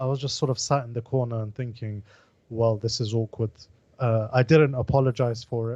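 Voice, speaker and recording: Speaking at a fairly quick pace, a man talks with a London accent. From London, England. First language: Pashto. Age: 20s. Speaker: political podcast co-host. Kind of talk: casual chat.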